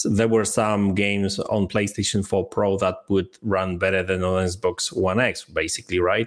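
A man with a Polish accent speaks at a fairly slow pace in a fairly low voice, his loudness very even. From Poland. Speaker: gaming commentator. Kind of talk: casual chat. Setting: video call. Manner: halting.

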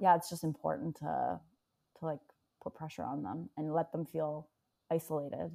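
Speaking at a moderate pace with long, frequent pauses, a woman uses a very deep, low pitch, a dark, mellow tone, vocal fry and ordinary pitch variation on a very clean recording with a silent background. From Iran. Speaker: book club guest. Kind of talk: casual chat.

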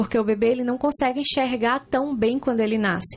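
A woman's high voice with ordinary pitch variation. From Ceará, Brazil (Juazeiro do Norte, interior). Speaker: breastfeeding consultant. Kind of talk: informative interview.

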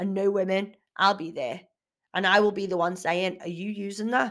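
A woman speaks at a moderate pace in a medium pitch, her delivery animated. Her tone is bright and sharp. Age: 30s. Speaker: fitness coach and podcast host. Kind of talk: casual solo podcast talk.

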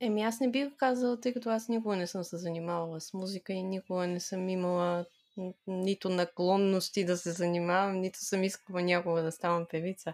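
At a fairly quick pace, a woman speaks in a normal speaking voice at a medium pitch with ordinary pitch variation. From Bulgaria, Pleven. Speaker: app user, IT specialist. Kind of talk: casual chat.

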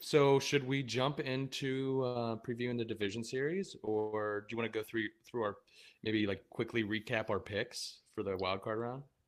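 Speaking at a moderate pace, a man has a plain, everyday voice with a medium pitch and ordinary pitch variation. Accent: American. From Pennsylvania, Pittsburgh area. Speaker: podcast co-host. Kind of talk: casual chat. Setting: remote recording.

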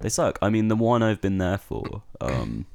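A man with an English accent, speaking at a fairly slow pace. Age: 20s. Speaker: university student and podcast co-host. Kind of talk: casual chat.

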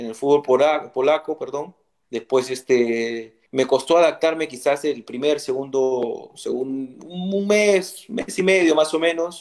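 Here a man speaks with a Peruvian accent. His pitch is fairly high, with ordinary variation. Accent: Peruvian Spanish (Lima). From Peru, Lima (Barranco). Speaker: retired footballer. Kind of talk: interview.

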